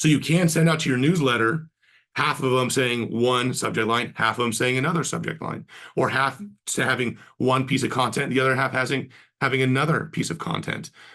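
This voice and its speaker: A man speaks fairly quickly at a medium pitch, with vocal fry and a bright, sharp tone. His pitch varies in an ordinary way over a quiet background. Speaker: marketing agency co-founder, webinar host; webinar presenter. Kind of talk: webinar presentation. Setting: online webinar. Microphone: webcam.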